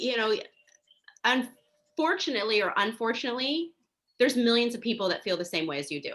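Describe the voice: Fairly high-pitched and fairly bright in tone, a woman talks at a fairly quick pace with lively intonation.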